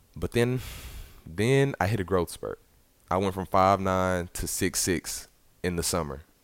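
A man with a Southern US accent speaks at a very deep, low pitch and a fairly slow pace. He leaves long, frequent pauses on a very clean recording with a silent background. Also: ordinary pitch variation. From US South, Arkansas (Little Rock). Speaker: college basketball player. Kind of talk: interview.

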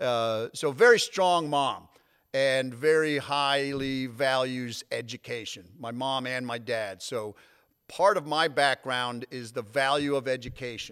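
An ordinary speaking voice with an American accent moves at a fairly slow pace with ordinary pitch variation. The recording is very clean and the background silent. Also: man, medium pitch for a man. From Connecticut, North Haven near New Haven. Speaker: college athletics conference commissioner. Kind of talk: podcast interview.

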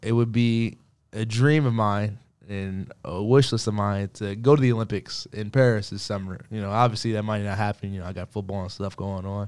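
A man speaks at a fairly quick pace with an unremarkable speaking voice, fairly low in pitch with fairly even intonation but big swings in loudness. The recording is very clean, with a silent background. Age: 20s. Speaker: college athlete and student podcast co-host. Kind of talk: casual chat. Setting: studio.

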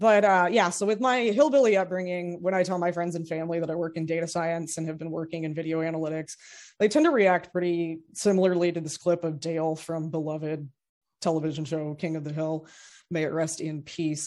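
A woman with a fairly low pitch talks at a fairly quick pace with fairly even intonation, an unremarkable speaking voice. The background is quiet. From Kentucky, US. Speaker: data scientist. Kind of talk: technical presentation. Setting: live-streamed show with studio audience.

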